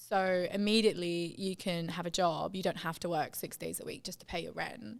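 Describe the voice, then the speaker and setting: Speaking in a British accent at a moderate pace with hardly any pauses and ordinary pitch variation, the voice comes through on a very clean recording with a silent background. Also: woman, fairly low pitch for a woman. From England. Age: 20s. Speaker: artist. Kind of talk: casual chat. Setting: podcast.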